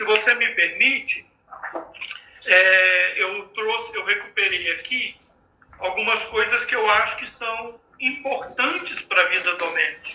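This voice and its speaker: The voice is raised and projected, with ordinary pitch variation. Its pace is fairly slow. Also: man, high pitch for a man. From Minas Gerais, Brazil. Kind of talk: religious talk in live stream. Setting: video live stream from home.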